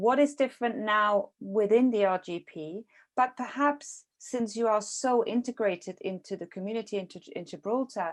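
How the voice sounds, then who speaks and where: The speaker is a woman with ordinary pitch variation. Her loudness swings widely. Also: moderate pace. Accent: non-native. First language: not English. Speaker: podcast interviewer. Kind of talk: interview. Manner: halting.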